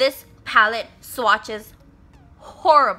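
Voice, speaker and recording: This woman projects a raised voice, pitched high, with lively intonation. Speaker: beauty vlogger. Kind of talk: makeup review talk to camera.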